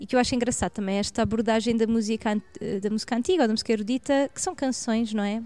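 In a Lisbon accent, a woman with a dark, mellow tone and fairly high pitch speaks at a very fast pace. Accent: European Portuguese, Lisbon area. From Portugal, Barreiro. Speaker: jazz singer and music researcher. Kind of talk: casual interview. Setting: shop, on location.

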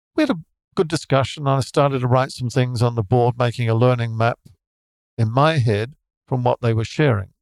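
Recorded dry and close with no echo, a man speaks at medium pitch and a fairly quick pace. His intonation is fairly even, and his loudness stays very even. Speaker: education consultant and teacher. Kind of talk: interview. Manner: measured, practiced.

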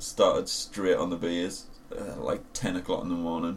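Moderately paced, a man's speech has noticeable noise running behind it. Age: young. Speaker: podcast co-host. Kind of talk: casual chat.

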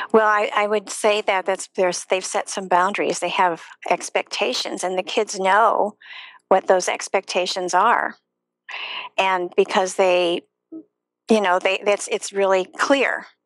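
A woman with an American accent and an unremarkable speaking voice talks at a fairly slow pace in a medium pitch, her intonation fairly even and the sound dry and close with no echo. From US Midwest, Chicago area. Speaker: yoga teacher and former schoolteacher. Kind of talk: live online interview.

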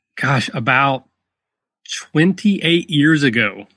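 With a Kentucky accent, a man speaks at a very slow pace with lively intonation. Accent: Southern US (Kentucky). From rural Kentucky. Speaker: tabletop gaming podcaster. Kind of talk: casual interview. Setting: video call.

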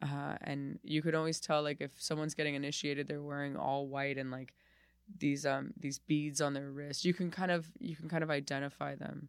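A woman speaks fairly quickly with a very deep, low pitch. Her intonation is fairly even, and the recording is very clean with a silent background. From Miami, Florida. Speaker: comedian. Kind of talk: casual interview chat. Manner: halting, frequent restarts.

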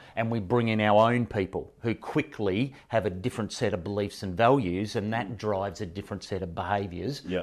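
With an Australian accent, a man speaks at a fairly low pitch, with ordinary pitch variation and a moderate pace. The recording is very clean, the background silent. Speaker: professional speaker. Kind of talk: interview. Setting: face-to-face studio recording.

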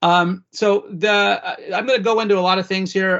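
A man at a moderate pace, intonation fairly even. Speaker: legislative director, podcast host. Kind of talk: policy briefing monologue. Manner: halting, many fillers.

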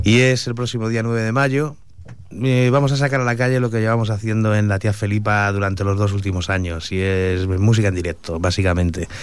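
At a fairly quick pace, a man with a fairly low pitch and ordinary pitch variation speaks amid audible room echo. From Madrid, Spain (Usera). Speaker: venue owner and event organizer. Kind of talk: radio interview.

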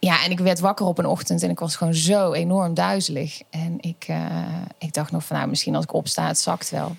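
Noticeable background noise behind a woman's fairly quick speech. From Netherlands, North Brabant (Schijndel). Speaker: pedagogy lecturer. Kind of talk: personal testimony in an interview.

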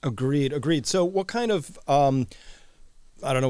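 Over a very clean recording with a silent background, a man speaks in a plain, everyday voice at a moderate pace with lively intonation. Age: 50s. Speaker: podcast host. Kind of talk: interview.

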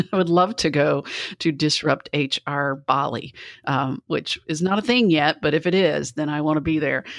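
This woman has a very deep, low pitch. The background is quiet. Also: ordinary pitch variation, moderate pace. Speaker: speaker and HR talent consultant. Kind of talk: casual interview.

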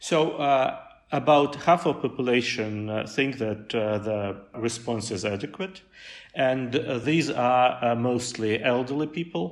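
A man speaks very slowly with a Russian accent. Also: medium pitch for a man, ordinary pitch variation. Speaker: pollster, research center deputy director. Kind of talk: interview. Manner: halting, many fillers.

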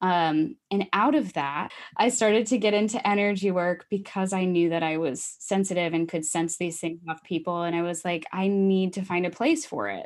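Recorded very cleanly against a silent background, a woman with an American accent speaks at a moderate pace with medium pitch, ordinary pitch variation and an unremarkable speaking voice. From US Midwest, Iowa. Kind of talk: casual chat.

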